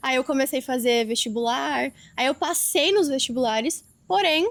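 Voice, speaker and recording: A woman with a high pitch talks at a moderate pace, her intonation lively and her loudness very even. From Brazil, Rio Grande do Sul. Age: 20s. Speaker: affiliate marketer, podcast guest. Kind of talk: interview testimony.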